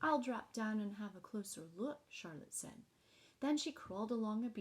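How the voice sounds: This is a natural reading voice. It is heard reading a passage.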